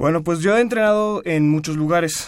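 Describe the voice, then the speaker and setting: The pace here is moderate, with ordinary pitch variation. It is a normal speaking voice. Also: man. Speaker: university student and swimmer. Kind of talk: radio interview. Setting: radio studio.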